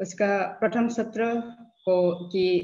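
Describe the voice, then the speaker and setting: With a non-native accent, a woman speaks in a dark, mellow, somewhat breathy tone with fairly even intonation. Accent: non-native Hindi. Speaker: professor. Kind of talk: lecture. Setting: webinar video call. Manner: halting, frequent fillers.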